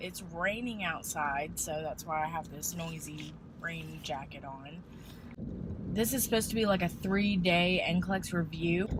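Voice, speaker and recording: A woman speaks at a fairly slow pace with a fairly low pitch. Audible room echo and noticeable background noise surround her voice. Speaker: nursing student vlogger. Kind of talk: casual vlog. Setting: on the way to school.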